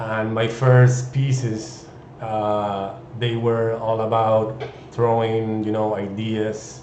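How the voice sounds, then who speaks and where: A man's medium-pitched, flat monotone in a Chilean Spanish accent at a very slow pace, with audible room echo and noticeable background noise. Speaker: 3D artist. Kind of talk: live stream introduction. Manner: halting, many fillers.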